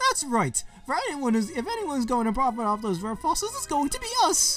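A man puts on a character voice at an extremely high pitch. He speaks at a moderate pace over clear music in the background. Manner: scheming, smug.

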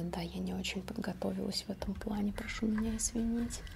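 A woman talks with vocal fry. Light background noise is present. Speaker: ASMR creator. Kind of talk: ASMR whisper-style talk to camera. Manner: casual, conversational, unhurried. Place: home room.

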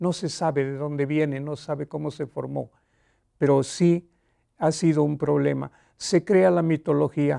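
A man's dark, mellow voice at a fairly slow pace, with fairly even intonation over a quiet background. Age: 80s+. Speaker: elderly writer. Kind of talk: interview. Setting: studio. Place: studio. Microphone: lapel.

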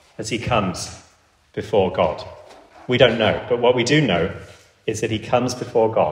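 Speaking at a fairly quick pace, a man talks in an English accent. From England. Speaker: pastor. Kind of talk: sermon. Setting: church.

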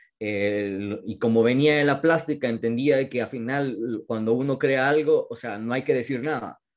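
An unremarkable speaking voice: a man at medium pitch and moderate pace, with ordinary pitch variation. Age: 40s. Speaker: experimental filmmaker. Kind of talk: interview.

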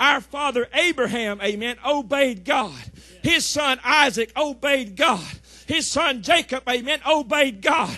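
A man with a Southern US accent speaks in a raised, projected voice. His tone is bright, sharp and animated, against a quiet background. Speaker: pastor. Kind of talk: sermon. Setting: church. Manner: animated, fervent preaching, punctuated by frequent "amen" calls; repetitive, rhythmic, building call-and-response cadence.

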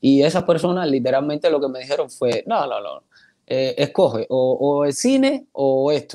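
A man's speech comes at a moderate pace against a quiet background. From Cuba. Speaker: actor. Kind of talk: interview. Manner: halting, many repetitions. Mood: warm, grateful, animated. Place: home room. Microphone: earbuds.

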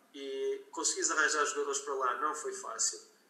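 Male speaker at a moderate pace with audible room echo. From northern Portugal, Guimarães. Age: 40s. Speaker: football coach. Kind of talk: interview.

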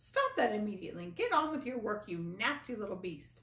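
A shrill, female-sounding put-on character voice rattles along at a fairly quick pace with a fairly high pitch. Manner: harsh, ordering, screeching.

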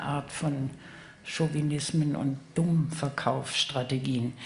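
A woman's voice with fairly even intonation over light background noise. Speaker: author and politician panelist. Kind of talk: panel discussion. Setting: stage with audience. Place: stage. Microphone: handheld.

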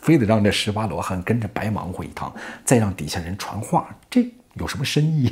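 Using lively intonation, a man with a fairly low pitch speaks at a moderate pace. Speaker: storyteller. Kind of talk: animated storytelling commentary. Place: home room. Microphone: lapel.

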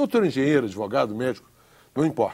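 A man's voice with a dark, mellow tone. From Brazil, Pará. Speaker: federal deputy; politician guest. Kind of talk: televised political debate. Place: studio. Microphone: lapel.

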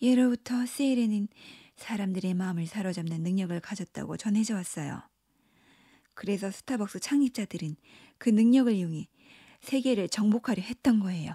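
A woman speaks at a moderate pace and medium pitch, with ordinary pitch variation and long, frequent pauses. Her tone is dark and mellow, and somewhat breathy. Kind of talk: bedtime story telling, narrated fairy tale with character voices. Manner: animated, lightly theatrical, shifting pitch between narrator, pirate, mermaid and witch.

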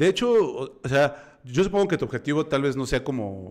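Against a quiet background, a man keeps a moderate pace. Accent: Mexican. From Mexico. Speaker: podcast host. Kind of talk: casual chat. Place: home room. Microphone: studio mic.

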